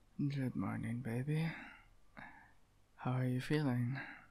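A soft-spoken voice, dark and mellow in tone, over a quiet background. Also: man. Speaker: voice actor in boyfriend roleplay. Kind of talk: ASMR roleplay. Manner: soft, sleepy just-woke morning voice.

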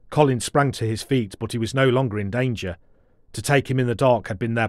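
Reading aloud in a natural voice, the speaker keeps intonation fairly even.

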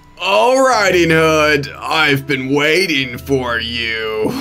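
A man does a put-on character voice, fairly high in pitch. He talks very slowly over clear background noise. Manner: sweet, deceptive.

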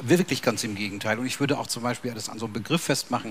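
Light noise runs in the background. A man speaks with lively intonation. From Bavaria. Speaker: sociology professor. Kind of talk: panel discussion. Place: hall.

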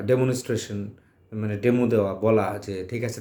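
This man's voice sits at a medium pitch, with a dark, mellow tone and fairly even intonation. Audible room echo surrounds it. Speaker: journalism professor. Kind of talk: lecture. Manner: halting.

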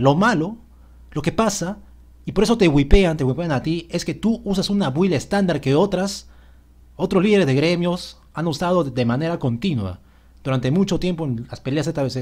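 A man's high-pitched voice with lively intonation, on a very clean recording with a silent background. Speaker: gaming youtuber. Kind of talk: game patch notes commentary. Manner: fast.

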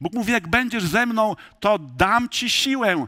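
In a raised, projected voice, a man speaks at a fairly slow pace with a high pitch and a bright, sharp tone against a quiet background. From rural Poland. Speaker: pastor. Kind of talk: sermon. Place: church.

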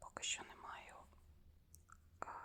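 At a very slow pace, a woman talks. She is whispering. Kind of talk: ASMR unboxing, whispered talk to camera. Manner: whispered, soft.

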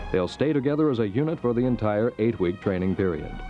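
Over background music, a man talks at a fairly quick pace. His medium-pitched voice makes very wide pitch swings. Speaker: news reporter. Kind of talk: vintage TV news report narration.

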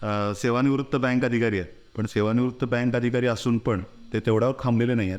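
A man speaks in a plain, everyday voice. His intonation stays fairly even. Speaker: YouTube interviewer. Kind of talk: introduction to camera.

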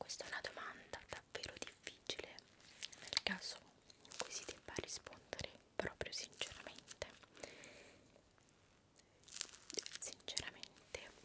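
A woman whispers in an intense tone at a fairly slow pace, leaving long, frequent pauses. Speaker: ASMR creator. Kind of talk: casual Q&A chat. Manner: intense close-mic whisper. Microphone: studio mic.

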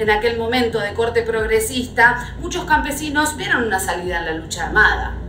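A woman talks at a moderate pace with audible room echo and light background noise. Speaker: presenter. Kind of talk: explanatory history commentary. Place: home room.

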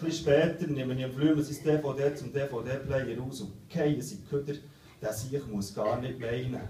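An animated tone at a fairly slow pace, with ordinary pitch variation, light background noise and audible room echo. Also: man, medium pitch for a man. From Switzerland. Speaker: slam poet. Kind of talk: poetry slam performance, comic storytelling with voiced characters. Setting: stage with audience. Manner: animated, comic timing. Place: stage.

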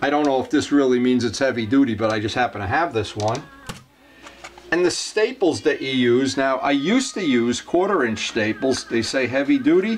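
Against faint background music, a man talks at a moderate pace. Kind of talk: tutorial. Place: workshop. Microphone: camera far.

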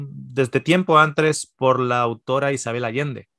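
A man speaks at a fairly slow pace in a dry sound with no echo against a quiet background. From Spain, Basque Country (Mondragón); Basque Country, Spain. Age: 40s. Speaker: nutritionist and theologian; podcast guest. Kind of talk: casual interview. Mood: relaxed storytelling. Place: home room. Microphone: video call.

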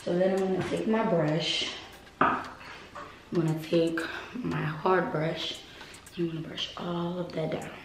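Speaking at a fairly slow pace with fairly even intonation, a woman leaves long, frequent pauses amid audible room echo and noticeable background noise. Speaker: hair vlogger. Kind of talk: tutorial. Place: home room. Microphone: camera far.

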